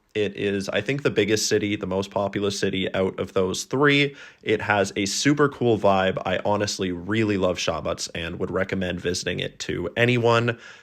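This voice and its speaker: In an ordinary speaking voice, a man with a Canadian accent talks at a fairly low pitch and a moderate pace, with ordinary pitch variation. He hardly pauses, and the recording is very clean with a silent background. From Canada. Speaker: travel vlogger. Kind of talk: vlog narration. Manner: casual.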